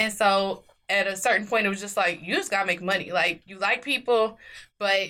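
A woman's medium-pitched voice with an American accent, bright and sharp in tone, at a fairly quick pace on a very clean recording with a silent background. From Kansas City, Missouri. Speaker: model and entrepreneur. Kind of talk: casual chat. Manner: animated.

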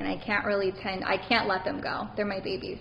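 Noticeable background noise sits behind a woman speaking at a moderate pace in a medium pitch. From Baton Rouge, Louisiana. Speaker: psychic medium. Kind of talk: interview.

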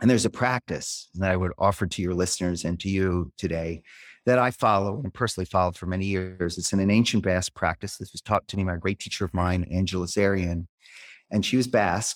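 A man with a very deep, low voice and an American accent speaks at a very fast pace with fairly even intonation. The recording is very clean with a silent background and a dry, close sound with no echo. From Philadelphia, US. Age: 60s. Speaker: leadership consultant and author. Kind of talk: interview conversation. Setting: makeshift studio with live audience.

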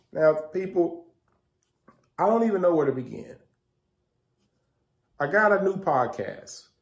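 A man speaks at a fairly slow pace with vocal fry. His fairly high pitch makes big swings.

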